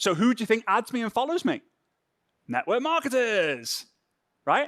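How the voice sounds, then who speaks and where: A man with a Liverpool accent uses an extremely high pitch, an animated tone and very wide pitch swings. The sound is dry and close with no echo, on a very clean recording with a silent background. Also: moderate pace. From northern England, Formby near Liverpool. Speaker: social media trainer. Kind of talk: workshop.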